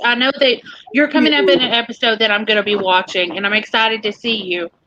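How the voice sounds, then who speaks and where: Speaking at a very fast pace, a woman uses a strong Southern US accent. Her tone is animated. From US South, Tennessee. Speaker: live stream host. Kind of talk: live stream interview.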